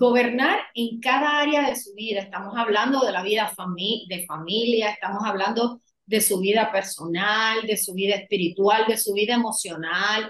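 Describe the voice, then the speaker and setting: This woman has a fairly high pitch and speaks with a Puerto Rican accent. She goes at a fairly slow pace, with ordinary pitch variation. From Puerto Rico. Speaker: women's empowerment coach. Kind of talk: podcast interview.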